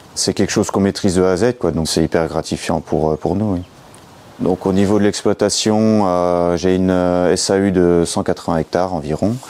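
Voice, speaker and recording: A man's very deep, low voice moves at a moderate pace while noticeable background noise carries on. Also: fairly even intonation, very even loudness. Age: 30s. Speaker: farmer. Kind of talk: interview testimony. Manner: hesitant, many fillers.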